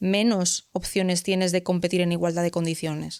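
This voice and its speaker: In a Galician accent, a woman speaks at a medium pitch and a moderate pace. Her tone is animated, and the sound is dry and close with no echo. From Galicia, Spain. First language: Galician (speaking Spanish). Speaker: civil servant in the justice system. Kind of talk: podcast interview.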